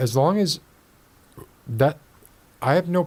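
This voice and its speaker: This voice has a dark, mellow tone and lively intonation, with an American accent. The pace is moderate. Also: man. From Miami, Florida. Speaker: podcast host. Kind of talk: casual chat.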